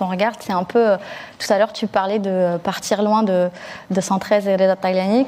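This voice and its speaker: At a moderate pace, a woman speaks in a medium pitch with fairly even intonation. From Algeria (Blida), moved to France at eight. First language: Algerian Arabic (darija) (speaking French). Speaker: journalist. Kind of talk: panel discussion. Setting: recorded online conference. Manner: conversational with frequent hesitations.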